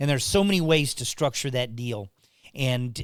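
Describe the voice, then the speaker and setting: The recording is very clean, with a silent background. A man speaks at a moderate pace with lively intonation. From Texas. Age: 60s. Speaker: podcast co-host, mortgage veteran. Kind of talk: casual chat. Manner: halting, many repeats.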